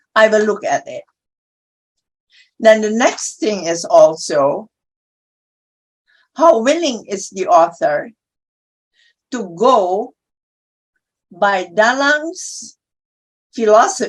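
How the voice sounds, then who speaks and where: A woman with an Indonesian accent speaks very slowly, with long, frequent pauses. Her pitch swings very widely and her loudness shifts a lot. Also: fairly high pitch for a woman. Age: 80s+. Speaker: publisher. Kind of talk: panel discussion.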